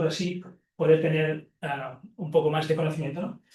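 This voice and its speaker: A man with a Catalan accent speaks in a high pitch with fairly even intonation. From Catalonia, Spain. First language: Catalan (speaking Spanish). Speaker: professor and ecology researcher. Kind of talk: lecture. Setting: seminar room with audience, also streamed on Zoom. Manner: halting, many fillers and repetitions.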